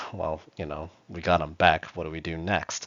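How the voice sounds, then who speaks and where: A man is speaking. His pitch is very deep and low. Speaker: EMT instructor. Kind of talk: lecture.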